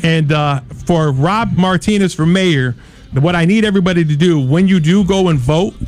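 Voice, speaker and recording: A man with an American accent talks at a high pitch with very even loudness. Noticeable background noise runs behind him. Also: ordinary pitch variation, moderate pace. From Kalamazoo, Michigan, US. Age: 40s. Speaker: mayoral candidate and artist. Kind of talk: interview.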